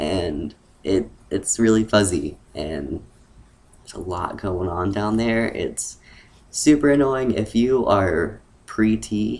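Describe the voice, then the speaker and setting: This man's voice is very deep and low, with vocal fry. He uses lively intonation. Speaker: transgender vlogger. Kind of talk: casual vlog monologue. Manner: hesitant, many fillers.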